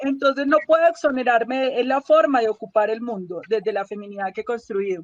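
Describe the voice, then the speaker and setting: A woman's high voice at a fairly quick pace with hardly any pauses, lively intonation, dry and close with no echo. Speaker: health policy activist. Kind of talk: interview. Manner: raised voice; emotional, indignant.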